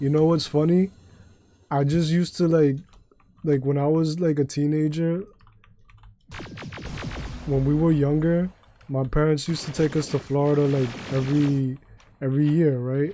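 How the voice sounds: Long, frequent pauses break up a man's fairly slow delivery. His fairly high pitch shows little movement, and his tone is dark and mellow.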